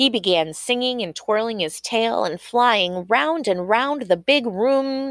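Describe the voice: The clip consists of plain reading aloud.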